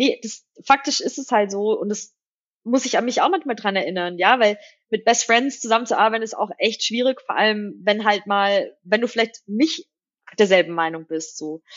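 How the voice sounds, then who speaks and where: The pace is moderate. This is an unremarkable speaking voice. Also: woman. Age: 30s. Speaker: fintech CEO. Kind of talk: interview. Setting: studio.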